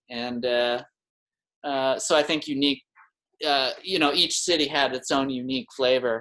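A man with a Manitoban accent and a medium-pitched, bright, sharp voice talks at a moderate pace with ordinary pitch variation and long, frequent pauses. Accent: Canadian (Manitoba). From Winnipeg, Manitoba, Canada. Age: 40s. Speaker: artist and craftsman. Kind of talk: casual chat.

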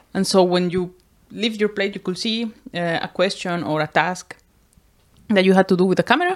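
A woman with a Spanish accent speaks at a fairly quick pace and a medium pitch, with fairly even intonation. Long pauses come often. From Costa Rica. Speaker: podcast co-host. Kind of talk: casual chat.

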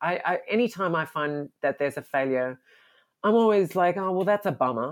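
In an Australian accent, a woman talks at a moderate pace with lively intonation against a quiet background. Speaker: comic book artist. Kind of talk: interview.

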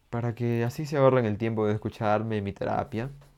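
The tone is dark and mellow. Speech moves at a fairly quick pace. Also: man. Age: 20s. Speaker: law student, podcaster. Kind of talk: casual monologue. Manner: halting, many fillers.

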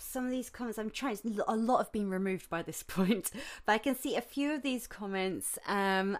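A woman with a British accent speaks at a moderate pace and fairly high pitch, with ordinary pitch variation, on a very clean recording with a silent background. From UK. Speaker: violinist and composer podcaster. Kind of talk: casual solo podcast monologue. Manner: chatty, rambling, informal.

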